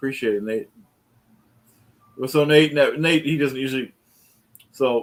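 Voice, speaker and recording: Using fairly even intonation, a man with an American accent and a fairly high pitch speaks at a moderate pace. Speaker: livestream host. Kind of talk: casual chat.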